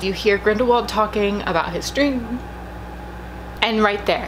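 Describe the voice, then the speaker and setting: Soft-spoken, a woman talks amid noticeable background noise and audible room echo. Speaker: YouTuber reacting to movie trailers. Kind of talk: trailer reaction video. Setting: at home. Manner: quiet, trying to speak softly.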